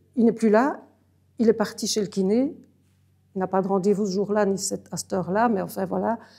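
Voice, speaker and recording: Fairly high in pitch, the woman's voice has a dark, mellow tone. Her intonation is fairly even. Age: 70s. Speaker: family caregiver. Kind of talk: interview testimony. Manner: halting, many hesitations.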